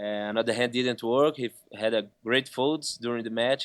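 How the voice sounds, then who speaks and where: A man with a Brazilian accent, medium pitch, fairly even intonation and a moderate pace, on a very clean recording with a silent background. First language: Portuguese. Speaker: poker player. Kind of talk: post-match interview.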